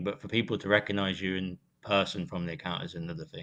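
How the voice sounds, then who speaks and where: The pace is very fast. The background is quiet. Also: man. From UK. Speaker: sports social media influencer. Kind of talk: casual podcast chat. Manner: animated.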